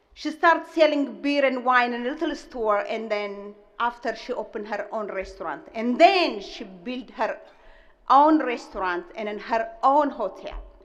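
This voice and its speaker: With a strong Ethiopian accent, a woman speaks at a high pitch with lively intonation and big swings in loudness. Audible room echo surrounds her voice. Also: moderate pace. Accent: heavy Ethiopian. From Ethiopia (Gojam). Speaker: restaurant owner, commencement speaker. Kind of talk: commencement speech. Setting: stage with audience.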